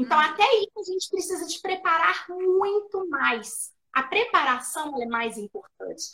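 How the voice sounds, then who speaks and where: Pitch swings very widely while the pace stays moderate. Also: woman. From Minas Gerais, Brazil. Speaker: speech therapist and educator. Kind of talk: interview. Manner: explanatory, didactic.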